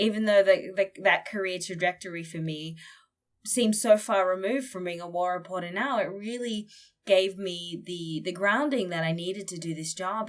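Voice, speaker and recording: A woman with an Australian accent, medium in pitch, at a moderate pace, with ordinary pitch variation and big swings in loudness, on a very clean recording with a silent background. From Australia, northern Queensland. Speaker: war journalist. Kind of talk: interview conversation.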